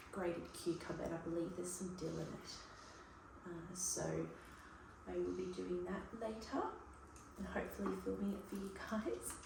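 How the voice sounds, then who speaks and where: With an Australian accent, a soft-spoken woman talks at a moderate pace, taking long, frequent pauses, amid noticeable background noise and audible room echo. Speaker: cooking vlogger. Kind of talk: casual vlog talk. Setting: home kitchen.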